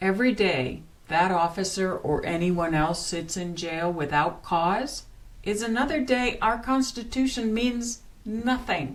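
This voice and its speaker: With an American accent, a woman talks at a fairly slow pace and a medium pitch. Noticeable background noise and audible room echo are present. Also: lively intonation. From northern US. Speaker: political commentary podcaster. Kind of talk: scripted commentary.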